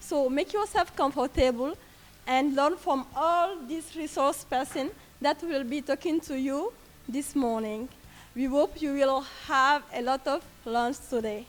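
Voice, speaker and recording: Using ordinary pitch variation, a woman talks at a fairly slow pace in a high pitch. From French-speaking country. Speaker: NGO volunteer and youth activist. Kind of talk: welcome address.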